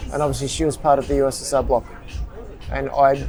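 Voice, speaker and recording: A man with an Australian accent at a fairly high pitch, music in the background. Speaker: tourist. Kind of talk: casual interview.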